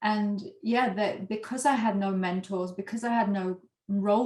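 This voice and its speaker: A somewhat breathy woman's voice at a fairly slow pace, with fairly even intonation. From Yorkshire, northern England. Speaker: former corporate lawyer, leadership coach and author. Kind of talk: interview.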